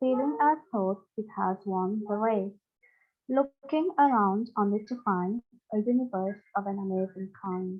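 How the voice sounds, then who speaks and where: At a very slow pace, a woman speaks at a medium pitch with ordinary pitch variation. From Mauritius and Ireland. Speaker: training participant. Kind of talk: reading aloud a poem.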